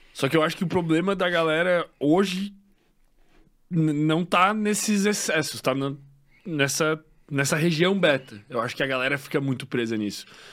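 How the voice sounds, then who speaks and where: Fairly high in pitch, a man speaks at a moderate pace with ordinary pitch variation and long, frequent pauses. The recording is very clean, with a silent background. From Santa Catarina, Brazil (western, Xaxim). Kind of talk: casual interview chat.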